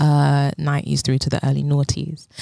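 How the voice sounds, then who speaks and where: A woman speaks in a London accent with a very deep, low pitch. The recording is very clean and dry, close-sounding, with no echo and a silent background. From South London. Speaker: dance movement psychotherapist. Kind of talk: casual chat.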